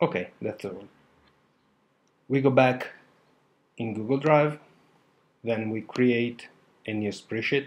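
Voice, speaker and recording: With a non-native accent, the speaker moves at a very slow pace with long, frequent pauses and ordinary pitch variation. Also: man, medium pitch for a man. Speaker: online course student. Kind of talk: tutorial. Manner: halting, many fillers.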